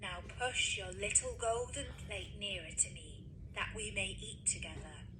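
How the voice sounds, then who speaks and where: Against loud background noise, someone performs a put-on character voice at a moderate pace. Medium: read story. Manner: insistent, wheedling.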